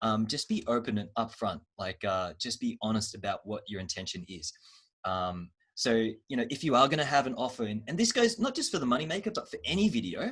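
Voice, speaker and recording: Fairly quick speech from a man with an Australian accent. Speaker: marketing trainer. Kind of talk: online training workshop. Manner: fast.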